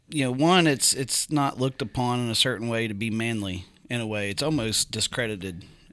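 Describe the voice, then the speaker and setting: On a very clean recording with a silent background, a man with a West Virginia accent speaks fairly quickly at medium pitch with ordinary pitch variation. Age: 40s. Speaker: sales executive. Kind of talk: casual chat. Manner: halting.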